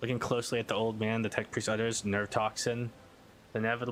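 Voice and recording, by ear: Read aloud, the text comes in a natural voice.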